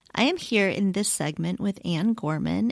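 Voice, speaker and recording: In a very clean recording with a silent background, a woman with a Midwestern accent speaks at a moderate pace with a medium pitch. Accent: flat Midwestern. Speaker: podcast host. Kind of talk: interview.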